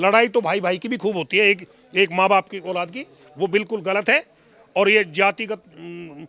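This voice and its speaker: A man with a high, bright, sharp voice projects loudly with big swings in loudness, in a dry, close sound with no echo. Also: ordinary pitch variation, moderate pace. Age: 70s. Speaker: interviewee. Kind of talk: interview. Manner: formal.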